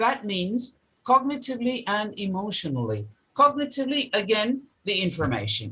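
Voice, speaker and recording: A woman with a Turkish accent speaks at a fairly high pitch in a bright, sharp tone. Her pace is fairly slow and her intonation lively. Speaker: professor. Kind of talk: lecture.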